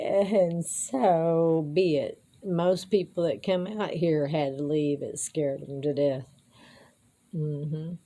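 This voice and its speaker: A dark, mellow tone moves at a very slow pace with ordinary pitch variation. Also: woman, fairly low pitch for a woman. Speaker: amateur musician and vlogger. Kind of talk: casual monologue.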